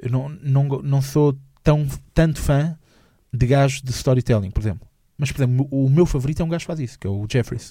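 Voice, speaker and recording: Somewhat breathy and dark, mellow in tone, a man's fairly high voice moves at a fairly quick pace. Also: ordinary pitch variation. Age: 20s. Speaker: comedian. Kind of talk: casual interview chat. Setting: studio. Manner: halting, repeats words.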